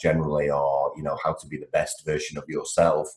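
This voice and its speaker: Speaking at a fairly quick pace, a man talks with a Liverpool accent. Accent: Liverpool (Scouse) English. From England, Liverpool. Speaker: project management speaker and trainer. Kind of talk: podcast interview. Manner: lively.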